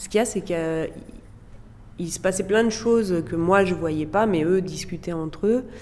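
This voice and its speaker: At a moderate pace and medium pitch, a woman talks with ordinary pitch variation, big swings in loudness and long, frequent pauses. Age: 40s. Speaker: former teacher sharing postpartum depression experience. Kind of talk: testimony. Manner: hesitant, with frequent fillers.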